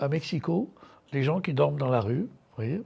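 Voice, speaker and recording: A man's fairly high, somewhat breathy voice, dark and mellow in tone with ordinary pitch variation, comes through a very clean recording with a silent background. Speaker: art curator giving a lecture. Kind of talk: lecture. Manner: halting, many hesitations.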